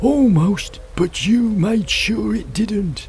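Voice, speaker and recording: A man's put-on character voice at a very slow pace, over clear background noise. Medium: machinima. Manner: drawn-out, slow.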